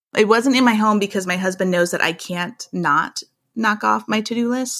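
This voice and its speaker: On a very clean recording with a silent background, a woman with an American accent speaks with vocal fry and ordinary pitch variation. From Iowa, US Midwest. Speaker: author and blogger. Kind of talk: casual interview chat.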